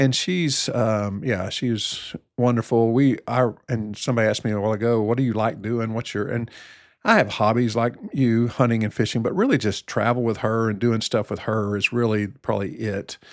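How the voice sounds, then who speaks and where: A plain, everyday voice speaks with an American accent and fairly even intonation. The recording is very clean, with a silent background. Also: man. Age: 60s. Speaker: family physician. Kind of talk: casual chat.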